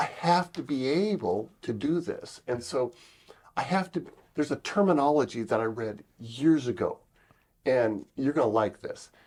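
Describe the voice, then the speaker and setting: In a normal speaking voice, a man talks at a moderate pace with lively intonation and a fairly high pitch. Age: 60s. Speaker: pastor and missionary trainer. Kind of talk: interview.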